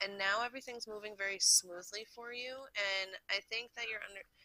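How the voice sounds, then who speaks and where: A woman speaks at a moderate pace in a bright, sharp tone. The sound is dry and close, with no echo. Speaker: tarot reader. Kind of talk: tarot reading. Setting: indoors by an open window.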